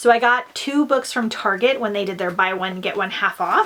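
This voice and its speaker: At a fairly quick pace, a woman talks with a normal speaking voice, a medium pitch, and ordinary pitch variation. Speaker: book vlogger. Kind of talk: casual vlog.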